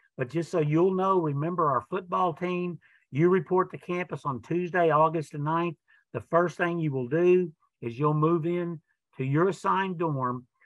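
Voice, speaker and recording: In an unremarkable speaking voice with ordinary pitch variation, the speaker goes at a moderate pace against a quiet background. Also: man, dry sound with no echo. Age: 60s. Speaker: college athletics director. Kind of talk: informational webinar presentation. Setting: video webinar. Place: office. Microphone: webcam.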